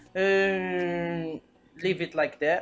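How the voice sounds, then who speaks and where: A woman with a non-native accent and a very deep, low pitch, with music in the background. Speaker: tech tutorial youtuber. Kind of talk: screen-recorded software tutorial. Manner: halting, with repetitions and fillers.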